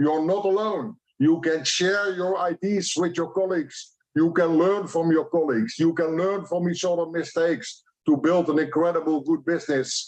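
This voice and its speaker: With a Dutch accent, a high-pitched man speaks at a moderate pace, his intonation fairly even and his loudness very even. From Netherlands. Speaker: franchise expert. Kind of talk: conference presentation. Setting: online event.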